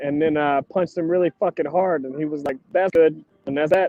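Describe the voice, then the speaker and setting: His tone is dark and mellow. The man's pitch moves with ordinary variation. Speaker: street fighter. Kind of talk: casual chat. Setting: at a volleyball tournament.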